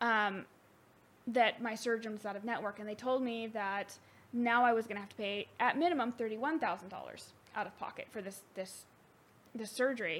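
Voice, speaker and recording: A woman talks at a fairly quick pace in an unremarkable speaking voice, with ordinary pitch variation and big swings in loudness. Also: fairly high pitch for a woman. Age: 20s. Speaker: returning guest, friend of host. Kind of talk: casual chat.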